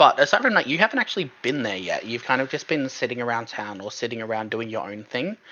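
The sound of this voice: Fast, lively speech from a man at medium pitch with a bright, sharp tone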